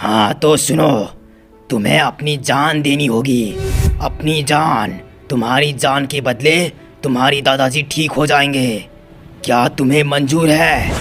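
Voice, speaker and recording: Clear music plays in the background as a man does a cartoonish character voice. He speaks very slowly at a fairly high pitch. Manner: solemn, paternal.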